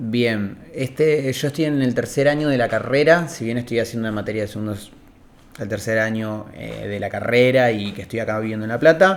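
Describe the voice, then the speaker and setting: A man speaks fairly quickly at a medium pitch, and his pitch varies in an ordinary way. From Argentina, Río Negro (Cipolletti). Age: 20s. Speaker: communication student. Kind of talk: interview. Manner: hesitant, many fillers.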